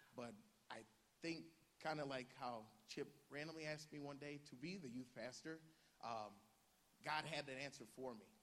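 Speaking at a moderate pace with an American accent, this voice leaves long, frequent pauses, and room echo is audible. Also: man, fairly high pitch for a man, ordinary pitch variation. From northeast Ohio, US. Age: young. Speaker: youth pastor. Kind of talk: personal testimony. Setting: church service with congregation. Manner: halting.

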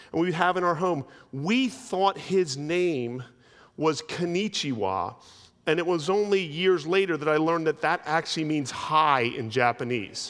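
A man with an American accent has an unremarkable speaking voice, fairly high in pitch, with lively intonation. He talks at a fairly slow pace with very even loudness. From US, South Jersey. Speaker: pastor. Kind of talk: sermon. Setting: church. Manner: conversational, humorous asides.

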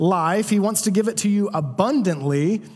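With audible room echo, a man speaks at a high pitch for a man, his pitch varying in an ordinary way. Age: 20s. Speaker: pastor. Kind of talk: sermon.

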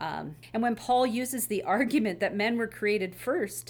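A woman speaks at a moderate pace with a fairly high pitch and ordinary pitch variation. Vocal fry runs through her voice. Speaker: associate pastor. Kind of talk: panel discussion about church history and scripture.

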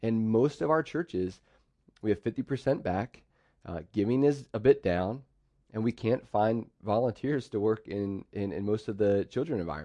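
In a dry, close recording with no echo and a quiet background, a man with an American accent speaks at medium pitch and a moderate pace, his dark, mellow tone carrying ordinary pitch variation. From central Pennsylvania, US. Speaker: pastor. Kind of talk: sermon.

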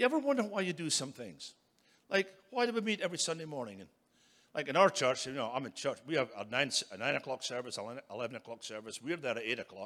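Fairly quick, fairly high-pitched male speech with a Scottish accent and very wide pitch swings, on a very clean recording with a silent background. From Scotland. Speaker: preacher. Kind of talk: sermon.

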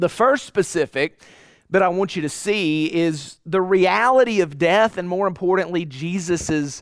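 Someone reads aloud in a natural voice. Their pitch variation is ordinary.

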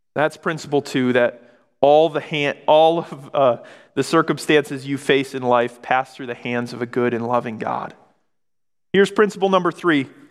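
An ordinary speaking voice, a man with an American accent speaks at a moderate pace, fairly high in pitch with ordinary pitch variation. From Michigan. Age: 20s. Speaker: pastor. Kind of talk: sermon.

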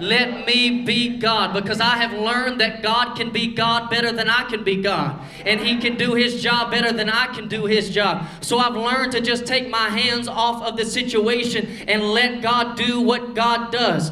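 At a moderate pace, a man talks with an extremely high pitch and fairly even intonation over noticeable background noise. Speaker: preacher. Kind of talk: sermon; rousing, fervent pulpit sermon with prayer and altar call. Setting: church. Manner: rhythmic, repetitive call-and-response style.

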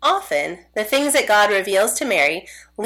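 Lively intonation carries through a natural reading voice.

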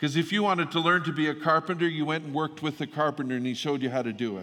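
An unremarkable speaking voice, this man's sits at a fairly high pitch with ordinary pitch variation. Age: 50s. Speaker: pastor. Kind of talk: sermon. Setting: church.

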